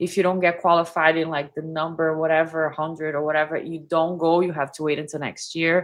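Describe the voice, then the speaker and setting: With a Brazilian Portuguese accent, a woman of fairly low pitch speaks at a fairly quick pace with monotone, flat intonation and hardly any pauses. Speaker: body language analyst, YouTuber. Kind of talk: casual chat. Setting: live stream.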